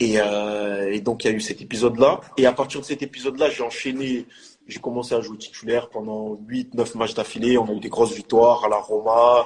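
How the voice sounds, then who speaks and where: A man with a plain, everyday voice talks at a medium pitch and a fairly quick pace, his intonation fairly even but his loudness swinging widely. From France, Marseille. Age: 20s. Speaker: professional footballer. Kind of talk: casual interview chat.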